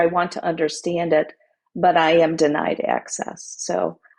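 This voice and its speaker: The speech comes at a fairly slow pace with vocal fry. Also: woman. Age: 60s. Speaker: author. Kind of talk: interview.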